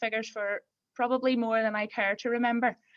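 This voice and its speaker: Monotone, flat intonation at a moderate pace, in a Belfast accent. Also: woman. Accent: Belfast brogue. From Northern Ireland, north Belfast. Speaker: farm accountant. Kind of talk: webinar talk. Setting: online webinar.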